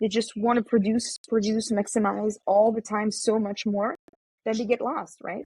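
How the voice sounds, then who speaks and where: In a dry, close sound with no echo, a woman speaks at a moderate pace and a fairly high pitch, her tone dark and mellow, somewhat breathy, with monotone, flat intonation. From France. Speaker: remote worker and traveler. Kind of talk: casual chat.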